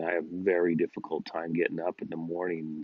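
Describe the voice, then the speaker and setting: The man speaks at a moderate pace in a very deep, low pitch. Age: 60s. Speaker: personal vlogger. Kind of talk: casual monologue vlog. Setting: outdoors in backyard. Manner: halting, many fillers.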